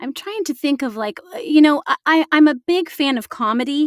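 A plain, everyday voice with an American accent talks at a fairly slow pace with lively intonation. The sound is dry and close, with no echo. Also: woman. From Illinois, Galesburg. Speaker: actor and voice actor. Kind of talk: casual chat.

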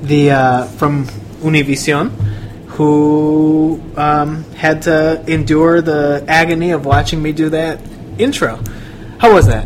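With audible room echo and noticeable background noise, a man with a fairly high pitch speaks at a very slow pace and shows ordinary pitch variation. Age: 20s. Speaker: podcast host and reporter. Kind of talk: interview.

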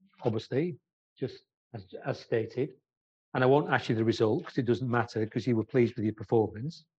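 Somewhat breathy, a man talks at a fairly quick pace and medium pitch with ordinary pitch variation. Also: long, frequent pauses. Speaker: sports business interviewer. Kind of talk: interview.

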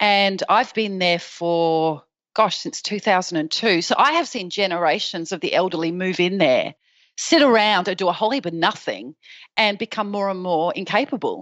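A woman's medium-pitched voice with an Australian accent, lively intonation and a moderate pace, against a quiet background. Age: 40s. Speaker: patient sharing her story. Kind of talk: interview.

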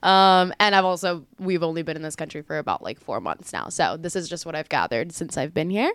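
With an American accent and an unremarkable speaking voice, a woman talks at a fairly low pitch and a fairly quick pace, with fairly even intonation and hardly any pauses, in a dry, close sound with no echo. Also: very clean recording, silent background. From US, Miami area. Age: 20s. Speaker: English teaching fellow, podcast co-host. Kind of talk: casual chat.

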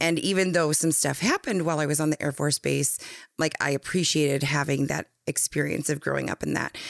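With an American accent, a woman speaks fairly quickly in a very deep, low pitch with vocal fry, fairly even intonation, very even loudness, and a dry, close sound with no echo. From North Dakota, US. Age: 30s. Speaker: guest, educator and advocate. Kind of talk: casual interview, personal storytelling.

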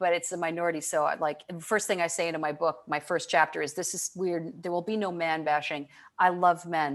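A woman with an American accent speaks fairly quickly in a fairly low pitch with fairly even intonation. The recording is very clean, with a silent background. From Michigan, US Midwest. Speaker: leadership consultant and author. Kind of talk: interview conversation.

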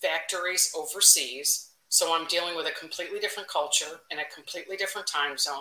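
A woman with a Chicago accent, fairly low pitch and fairly even intonation, very fast with hardly any pauses. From Chicago, Northwest side. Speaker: marketing executive. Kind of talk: interview. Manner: blunt, direct.

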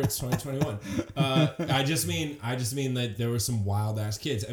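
With noticeable background noise behind him, a man talks at a medium pitch with lively intonation. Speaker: podcast guest.

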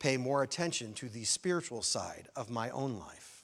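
A man speaks with an American accent in an ordinary speaking voice. His pitch is fairly high, with ordinary pitch variation. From US Midwest, Chicago area. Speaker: minister. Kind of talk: sermon.

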